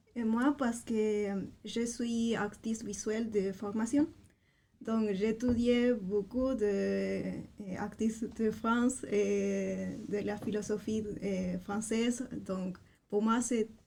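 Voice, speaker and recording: In a Spanish accent, a woman with a fairly high pitch speaks at a very slow pace with fairly even intonation. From Chile. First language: Spanish (speaking French). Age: 20s. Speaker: language assistant. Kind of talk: interview. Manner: halting, many hesitations.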